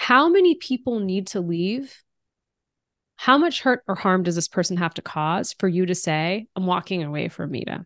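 A woman with an American accent speaks at a moderate pace and medium pitch, her tone animated. The sound is dry and close with no echo, over a quiet background. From United States. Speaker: diversity executive and author. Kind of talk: interview.

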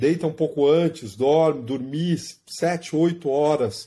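In a very clean recording with a silent background, a man speaks with a dark, mellow tone and a fairly high pitch. He goes at a fairly slow pace with ordinary pitch variation. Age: 40s. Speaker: running coach and athlete. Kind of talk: interview.

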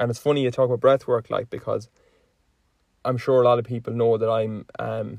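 A man with an Irish accent, fairly quick and monotone, flat in intonation, in a dry, close sound with no echo. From Ireland. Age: 20s. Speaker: podcast host. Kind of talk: casual chat.

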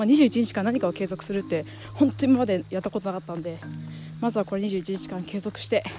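Music plays in the background. A woman speaks very fast in a medium pitch with ordinary pitch variation. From Japan, Iwate. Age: 20s. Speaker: podcaster. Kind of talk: personal monologue. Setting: outdoors, hiking a mountain. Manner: halting.

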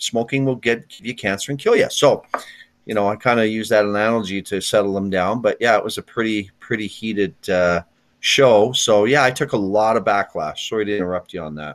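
With a western Canadian accent, a man speaks at a fairly quick pace. His pitch is fairly low, with ordinary variation. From Canada, near Edmonton, Alberta. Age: 50s. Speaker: retired hockey player. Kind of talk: interview.

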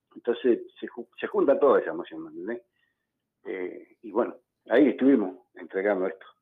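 A man at a moderate pace, with long, frequent pauses and big swings in loudness. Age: 60s. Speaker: former footballer and event organizer. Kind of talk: radio phone interview. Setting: phone call.

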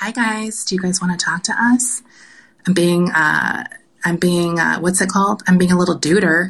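A woman speaks with an American accent at a moderate pace, in a plain, everyday voice. Her pitch sits in the medium range, and her intonation stays fairly even. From US South. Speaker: podcast host. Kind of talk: casual chat.

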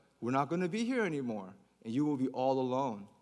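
An animated tone with audible room echo. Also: man. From Baltimore, Maryland (born in Korea, moved as small child). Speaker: pastor. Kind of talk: sermon.

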